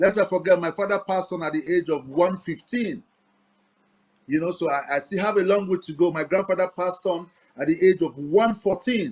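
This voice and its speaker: Ordinary pitch variation marks this man's high-pitched voice. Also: fairly quick pace. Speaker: reggae and gospel musician. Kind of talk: interview.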